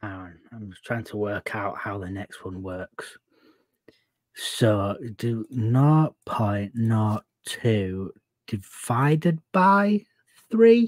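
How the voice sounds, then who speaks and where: Speaking very slowly with an English accent, a man shows big swings in loudness in a dry sound with no echo against a quiet background. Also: ordinary pitch variation. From England. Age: 30s. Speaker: podcast co-host. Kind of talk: casual political chat. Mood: joking, sarcastic. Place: home room. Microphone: video call.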